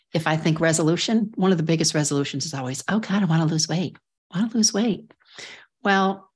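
The speaker talks at a very fast pace in a warm, somewhat breathy voice with ordinary pitch variation over a quiet background. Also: woman. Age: 60s. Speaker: podcast host, life coach for women. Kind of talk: solo podcast monologue. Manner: warm, conversational.

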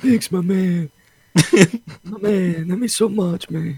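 In a put-on character voice with an Italian accent, a man speaks at a high pitch. His pace is fairly slow.

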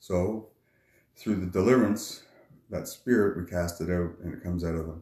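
A man with a Maritime Canadian accent, a very deep, low pitch and a dark, mellow tone, at a moderate pace. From New Brunswick, Canada. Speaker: fisherman and street minister. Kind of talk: testimony.

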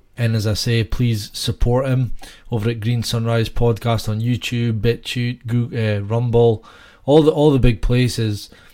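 In a Scottish accent, a man with a dark, mellow tone and medium pitch speaks at a fairly slow pace with fairly even intonation. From Scotland. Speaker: podcast co-host. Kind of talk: casual chat. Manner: hesitant, filler-heavy.

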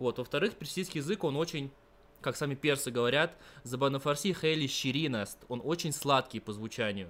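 A man talks in a plain, everyday voice, moving at a moderate pace with ordinary pitch variation. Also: fairly high pitch for a man. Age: 20s. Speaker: university student of Persian. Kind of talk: interview.

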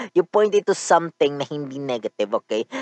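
The sound is dry and close with no echo as a man speaks at a fairly high pitch. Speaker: podcast host. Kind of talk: casual monologue.

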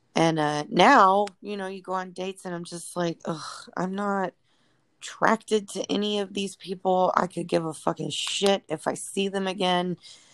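A woman's normal speaking voice at medium pitch, moderate pace and fairly even intonation, with a dry, close sound with no echo. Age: 30s. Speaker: podcast co-host. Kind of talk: casual chat.

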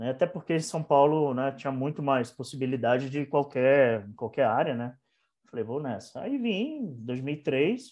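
A man with a fairly high pitch, lively intonation, a moderate pace and a plain, everyday voice. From Bahia, Brazil. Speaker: photographer. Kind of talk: casual chat.

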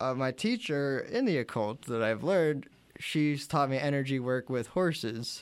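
A man with an American accent has an ordinary speaking voice, fairly high in pitch. He keeps a moderate pace, ordinary pitch variation and very even loudness. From western Pennsylvania, US. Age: 20s. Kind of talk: casual interview.

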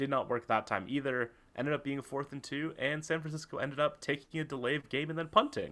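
A man's fairly high voice at a fairly quick pace, with hardly any pauses. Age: 20s. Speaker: sports podcast co-host. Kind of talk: casual chat; scripted rant. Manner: animated.

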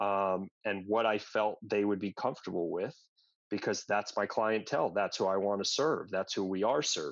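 A man's plain, everyday voice, fairly low in pitch, against a quiet background. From New York suburbs (Westchester County). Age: 40s. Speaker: gym owner and fitness trainer. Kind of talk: casual interview conversation.

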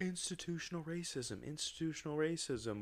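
Talking at a fairly quick pace with ordinary pitch variation, a man uses a plain, everyday voice. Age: 20s. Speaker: podcast co-host. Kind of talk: casual chat.

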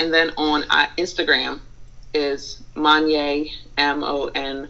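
Speaking at a very slow pace, a woman talks with an American accent. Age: 20s. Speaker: college student. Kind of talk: casual interview chat. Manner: hesitant, many fillers.

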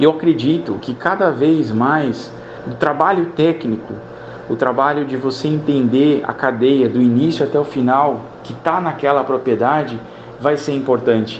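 A man talks at a fairly slow pace with a fairly high pitch and ordinary pitch variation. Room echo is audible, and there is noticeable background noise. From São Paulo state, Brazil. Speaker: animal scientist. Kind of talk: radio interview.

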